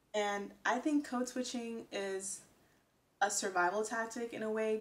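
With an American accent, a woman talks at a fairly slow pace. Her intonation stays fairly even. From United States. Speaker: vlogger. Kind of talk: casual talk to camera. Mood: earnest, reflective. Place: home room.

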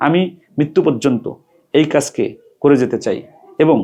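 With a dark, mellow tone, this man talks using ordinary pitch variation. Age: 40s. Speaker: Islamic cleric and madrasa director. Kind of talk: reading a letter aloud with commentary.

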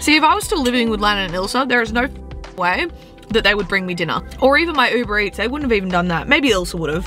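Faint music plays in the background as a woman speaks at a very fast pace in a dry sound with no echo. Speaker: vlogger. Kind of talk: casual vlog chat. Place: car. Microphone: phone near.

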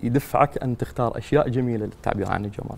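A man's voice with ordinary pitch variation. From Iraq, Najaf; Iraq. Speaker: poet. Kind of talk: interview. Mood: calm, thoughtful. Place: studio. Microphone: lapel.

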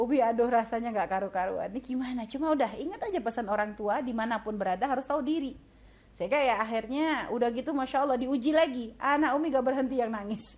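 A woman talks very fast in a high voice with ordinary pitch variation. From Indonesia, Pontianak (West Kalimantan). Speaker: Islamic preacher. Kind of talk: religious lecture. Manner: conversational, with fillers.

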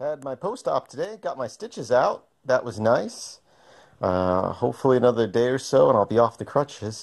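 With lively intonation, a man speaks at a moderate pace against a quiet background. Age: 30s. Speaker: video blogger. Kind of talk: video diary. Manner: casual, hesitant with fillers. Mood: upbeat, expressive.

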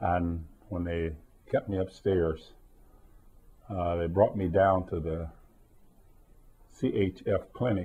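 Long, frequent pauses break up a man's slow, low-pitched speech, which has fairly even intonation and a slightly husky edge.

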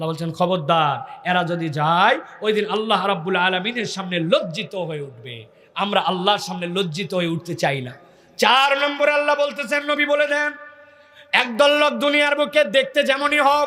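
A man with a high voice speaks in a raised, projected voice with an animated tone and very wide pitch swings. Noticeable background noise and audible room echo surround him. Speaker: Islamic preacher. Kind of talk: sermon.

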